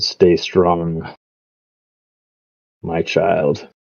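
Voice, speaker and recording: This is a put-on character voice. It sounds guttural. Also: man, very deep, low pitch for a man. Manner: solemn, encouraging.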